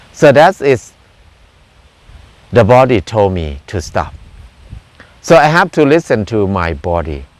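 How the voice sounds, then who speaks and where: The pitch swings very widely. Long pauses come frequently. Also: man, fairly low pitch for a man, fairly slow pace. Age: 60s. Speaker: farmer and self-reliance teacher. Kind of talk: personal talk to camera. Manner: halting.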